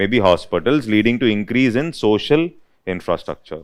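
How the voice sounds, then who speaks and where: With an Indian accent, a man talks in a medium pitch with ordinary pitch variation. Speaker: UPSC economics teacher. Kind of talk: lecture. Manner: dictation pace, repeating phrases.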